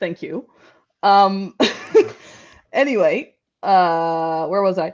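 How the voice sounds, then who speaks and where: A woman speaks at a medium pitch with a Dutch accent. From Netherlands. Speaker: panel guest. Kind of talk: casual discussion.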